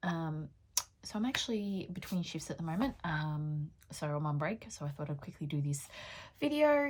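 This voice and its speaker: At a moderate pace with ordinary pitch variation, the voice comes across somewhat breathy. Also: woman, fairly low pitch for a woman. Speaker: beauty vlogger and pole dancer. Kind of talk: casual makeup tutorial chat. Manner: frequent 'um' fillers.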